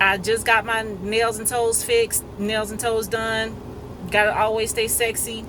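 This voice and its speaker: Noticeable background noise plus audible room echo. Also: woman. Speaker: vlogger. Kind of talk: casual monologue video. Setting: in a parked car. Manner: fast.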